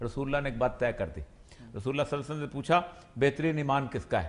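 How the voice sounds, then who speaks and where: His pitch varies in an ordinary way. This man's voice is fairly high. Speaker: political talk show panelist. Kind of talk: talk show debate. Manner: animated.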